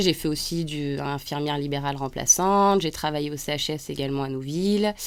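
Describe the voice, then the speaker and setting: A woman with a very deep, low pitch and ordinary pitch variation. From central France (Auvergne). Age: 30s. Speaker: nurse and artist. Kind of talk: radio interview. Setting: radio studio.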